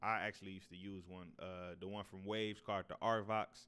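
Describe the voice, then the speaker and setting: Flat and monotone, a man talks at a fairly quick pace in a fairly low voice. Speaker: audio engineer. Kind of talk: tutorial. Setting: untreated home room recording. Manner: casual, hesitant with fillers.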